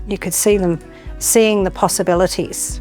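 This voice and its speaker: With music playing in the background, a woman with an Australian accent speaks at a medium pitch and moderate pace. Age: 60s. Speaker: aged care worker. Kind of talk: interview testimony.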